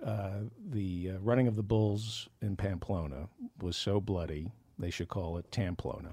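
A somewhat breathy man talks at a moderate pace with fairly low pitch and ordinary pitch variation. The recording is very clean, with a silent background. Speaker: comedian and podcast host. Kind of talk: casual banter, joking. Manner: interrupting, joking, teasing.

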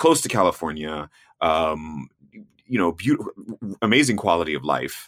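Speaking with an American accent, a man with a very deep, low pitch uses lively intonation in a very clean recording with a silent background. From US South. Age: 40s. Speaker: travel TV host and explorer. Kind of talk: casual interview chat.

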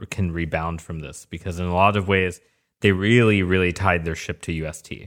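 A man with very deep, low pitch at a moderate pace, on a very clean recording with a silent background. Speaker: crypto investor. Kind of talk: casual panel discussion.

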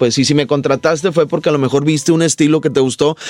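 A man speaks in a northern Mexican accent. Noticeable background noise is present. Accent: northern Mexican (Monterrey). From Monterrey, Nuevo León, Mexico. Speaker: comedian. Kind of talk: casual interview chat.

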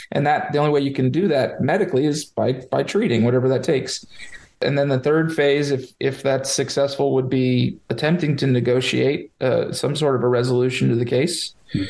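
A man's normal speaking voice with an American accent, fairly high-pitched for a man, at a fairly quick pace, with very even loudness and fairly even intonation. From Florida, Sarasota area. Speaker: lawyer. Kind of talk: interview.

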